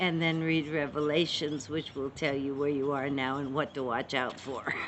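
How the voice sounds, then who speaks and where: A woman speaks at a moderate pace in a very deep, low pitch. Her intonation is monotone and flat, and there is noticeable background noise. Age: 70s. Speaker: spiritual author. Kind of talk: interview.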